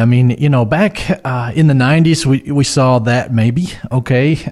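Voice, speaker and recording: Here is a man with an ordinary speaking voice and a medium pitch. He speaks with an American accent and ordinary pitch variation. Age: 40s. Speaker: financial advisor. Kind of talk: casual chat.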